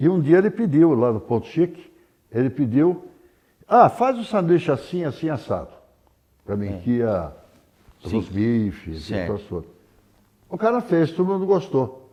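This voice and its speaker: Speaking at a fairly slow pace with long, frequent pauses, a man with a fairly high pitch and a dark, mellow tone makes very wide pitch swings. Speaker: writer. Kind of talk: interview answer.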